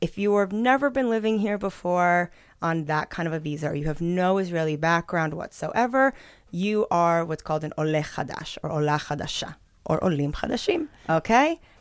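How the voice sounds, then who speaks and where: This woman has a plain, everyday voice with a fairly low pitch and lively intonation. She speaks at a moderate pace on a very clean recording with a silent background. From northern Israel, from age fourteen; born in New York. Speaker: immigration advisor. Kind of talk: interview.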